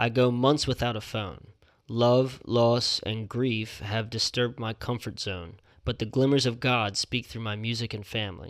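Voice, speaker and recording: This man has a normal speaking voice at a medium pitch, and his intonation stays fairly even. The recording is very clean, with a silent background. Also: moderate pace. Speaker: podcast host. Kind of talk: casual banter, music review podcast. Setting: studio.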